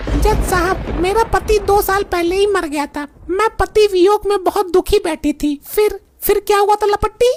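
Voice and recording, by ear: This is a cartoonish character voice that sounds female. The pitch is extremely high. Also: moderate pace.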